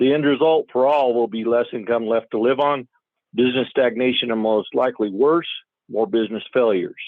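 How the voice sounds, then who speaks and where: A man's ordinary speaking voice with an American accent, at a fairly quick pace with ordinary pitch variation. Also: medium pitch for a man. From Colorado. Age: 50s. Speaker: rancher and farmer. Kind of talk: public comment testimony read from prepared statement. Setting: phone call. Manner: formal.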